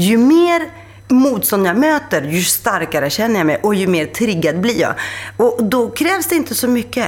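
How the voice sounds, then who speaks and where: A woman with a Greek accent speaks in an animated tone at a moderate pace. Her pitch swings very widely while her loudness stays very even. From Greece, then Rinkeby, Stockholm. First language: Greek (speaking Swedish). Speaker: author and journalist. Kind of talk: interview.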